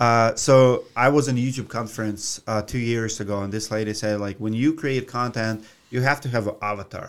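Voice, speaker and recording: Over a silent background in a very clean recording, a man with a Russian accent and medium pitch speaks at a moderate pace with fairly even intonation and hardly any pauses. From Russia (Siberia). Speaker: roofing contractor and YouTuber. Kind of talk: interview. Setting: studio.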